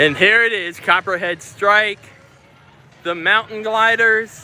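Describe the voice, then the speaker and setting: Over music in the background, a raised, projected voice speaks at a very slow pace with fairly even intonation. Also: man, high pitch for a man. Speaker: theme park vlogger. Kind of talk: live stream walkaround chat. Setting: outdoors at amusement park. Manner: loud.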